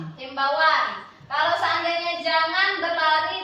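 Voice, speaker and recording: A woman's extremely high, shrill, raised and projected voice with fairly even intonation, over noticeable background noise and audible room echo. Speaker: primary school teacher. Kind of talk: training presentation.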